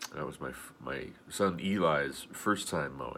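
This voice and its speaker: A man's voice with vocal fry. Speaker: video blogger. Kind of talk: casual video blog monologue.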